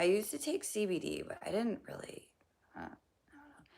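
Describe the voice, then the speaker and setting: Using a put-on character voice, a woman sounds raspy and hoarse at a moderate pace. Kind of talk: casual.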